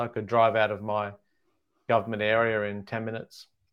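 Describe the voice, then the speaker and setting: A moderate pace against a quiet background. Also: man. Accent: Australian. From Australia. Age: 40s. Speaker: stand-up comedian. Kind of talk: casual interview.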